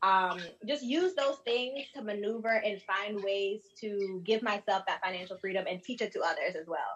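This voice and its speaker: Her pitch medium and her pace moderate, a woman uses a normal speaking voice with ordinary pitch variation. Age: 20s. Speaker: bookkeeper and accountant. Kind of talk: panel discussion. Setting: video call.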